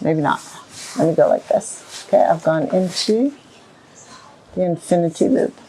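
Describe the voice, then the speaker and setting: Against noticeable background noise, a woman talks at a moderate pace with very even loudness and long, frequent pauses. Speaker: equine bodywork practitioner. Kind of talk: tutorial. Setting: stable with a horse.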